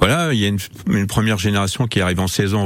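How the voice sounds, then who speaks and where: Very deep and low, a man's voice runs at a very fast pace with ordinary pitch variation. Noticeable background noise sits behind him. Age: 60s. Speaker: football coach. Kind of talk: radio interview. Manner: hesitant, many fillers.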